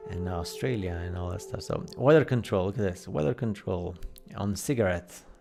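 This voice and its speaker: Background music can be heard. Over it, a male voice talks fairly quickly. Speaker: conspiracy video commentator. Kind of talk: casual commentary over photos. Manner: fast; animated.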